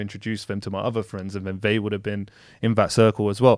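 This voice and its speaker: A man talks at a very fast pace in a fairly low pitch with a monotone, flat intonation. The recording is very clean, with a silent background. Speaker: podcast guest. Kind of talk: casual chat. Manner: moves around on the mic.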